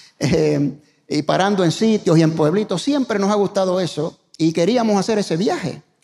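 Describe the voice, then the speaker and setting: A man with a high pitch and a dark, mellow tone speaks at a moderate pace with ordinary pitch variation. His loudness stays very even against a quiet background. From Puerto Rico. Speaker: pastor; guest pastor. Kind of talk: sermon. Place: church. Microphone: handheld.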